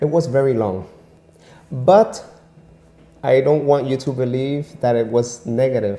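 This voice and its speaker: Pitched in the medium range, a man talks at a fairly slow pace with long, frequent pauses. His tone is dark and mellow, with ordinary pitch variation. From Venezuela. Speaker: immigrant and English teacher. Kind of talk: interview. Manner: animated; repetitive stammering.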